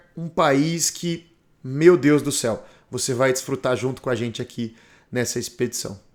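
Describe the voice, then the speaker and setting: Lively intonation marks this man's fairly slow delivery. The recording is very clean, with a silent background. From Brazil. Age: 40s. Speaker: motorcycle travel vlogger. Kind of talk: documentary narration.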